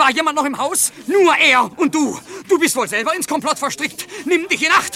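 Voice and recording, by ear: A man's put-on character voice, extremely high-pitched and bright and sharp, with lively intonation at a moderate pace and faint background noise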